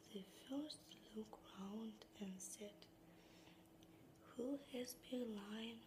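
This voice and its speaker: Over noticeable background noise, a soft-spoken woman whispers at a very slow pace. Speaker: ASMR creator. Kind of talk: fairytale narration, whispered storytelling. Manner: whispered, soft-spoken.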